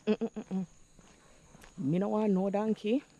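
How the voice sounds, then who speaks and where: A woman speaks in a Jamaican accent at medium pitch. Her tone is dark and mellow, in a dry, close sound with no echo. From Jamaica, St. Andrew. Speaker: vlogger. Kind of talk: casual vlog monologue, Jamaican patois.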